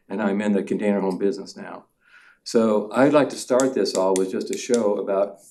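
Fairly even intonation marks a man's dark, mellow tone, spoken with an American accent. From Oregon. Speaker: property developer. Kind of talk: public testimony. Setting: public meeting hall. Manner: halting, many fillers and repeats.

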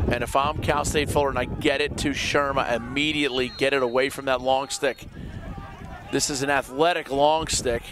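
Noticeable background noise sits behind the speaker. A man talks at a moderate pace with a fairly high pitch. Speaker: play-by-play sports commentator. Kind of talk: live commentary. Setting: outdoors. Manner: animated.

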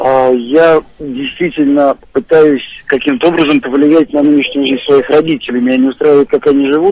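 Here a man speaks at a fairly high pitch. He has an ordinary speaking voice. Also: dry sound with no echo. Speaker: caller. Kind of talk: radio phone-in consultation. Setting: phone call. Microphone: phone line.

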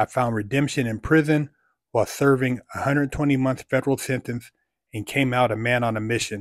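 Dry and close with no echo, a man's voice comes through at a moderate pace. His pitch sits in the medium range. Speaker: motivational YouTuber and life coach. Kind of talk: monologue vlog with merch plug and reading a fan message. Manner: casual, motivational, animated.

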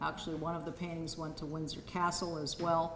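A woman speaks with audible echo from the room. Light background noise sits underneath. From Sydney, Australia. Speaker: show host and daughter of the featured artist; presenter. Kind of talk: gallery talk to a live audience. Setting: museum exhibit opening with audience. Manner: halting. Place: hall. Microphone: handheld.

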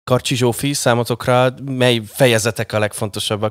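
Over a quiet background, a man speaks at a moderate pace in a dry sound with no echo. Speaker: radio host. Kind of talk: casual chat. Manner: animated. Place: studio. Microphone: studio mic.

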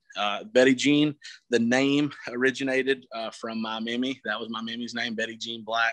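With an American accent, a man speaks at a moderate pace with ordinary pitch variation and a bright, sharp tone. The sound is dry with no echo over a quiet background. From US South. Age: 20s. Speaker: truck builder; interviewee. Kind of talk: interview. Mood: relaxed, enthusiastic. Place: garage. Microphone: phone near.

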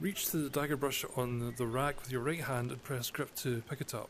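A man speaks at a moderate pace in a Scottish accent, his voice medium in pitch and somewhat breathy. His intonation stays fairly even over light background noise. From Scotland. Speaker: gamer channel host. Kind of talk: casual gameplay commentary to camera. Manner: calm, relaxed. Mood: relaxed, lightly joking. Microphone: headset.

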